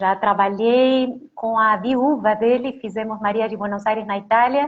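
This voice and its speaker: A woman with a strong Argentine accent speaks at a fairly high pitch. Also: fairly even intonation, fairly slow pace. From Argentina. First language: Spanish (speaking Portuguese). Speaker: singer and songwriter. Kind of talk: interview.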